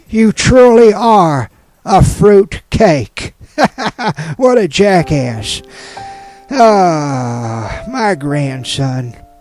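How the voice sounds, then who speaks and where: Over background music, a man speaks at a very slow pace in a high pitch, with very wide pitch swings and long, frequent pauses. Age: 80s. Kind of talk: casual radio banter.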